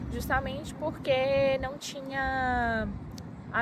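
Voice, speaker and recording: A woman with a Minas Gerais accent. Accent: Minas Gerais Brazilian Portuguese. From Minas Gerais, Brazil. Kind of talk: casual talk to camera.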